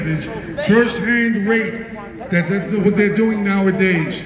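A loud, high-pitched male voice, fairly slow and fairly even in intonation, with noticeable background noise. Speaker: rally speaker and political candidate. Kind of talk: rally speech. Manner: loud, fiery and rallying, hammering slogans and warnings to the crowd. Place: street. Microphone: pa.

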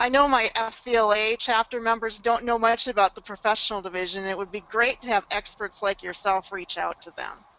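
A woman with an ordinary speaking voice, fairly high-pitched, at a moderate pace with fairly even intonation. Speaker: membership director and webinar moderator. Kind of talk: webinar presentation. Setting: webinar broadcast.

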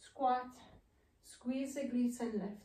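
A woman speaks in a high-pitched voice with a dark, mellow tone and monotone, flat intonation. Her pace is fairly slow, and the room echo is audible. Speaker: movement therapist. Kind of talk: guided exercise tutorial. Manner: calm, instructive. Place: studio. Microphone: camera far.

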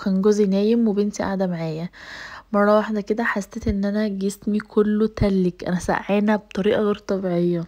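A dark, mellow tone with monotone, flat intonation, a moderate pace and an Egyptian accent against a quiet background. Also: woman. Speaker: lifestyle vlogger. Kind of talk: casual vlog talk. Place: kitchen. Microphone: phone near.

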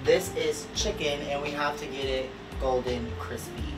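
Clear music plays behind a man as he talks. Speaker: home cook vlogger. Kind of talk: casual cooking tutorial. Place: kitchen. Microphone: camera far.

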